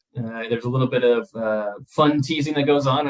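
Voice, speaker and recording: Medium pitch and ordinary pitch variation in a male voice. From US South, Air Force family, mostly Louisiana and Texas. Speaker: festival organizer. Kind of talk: casual interview.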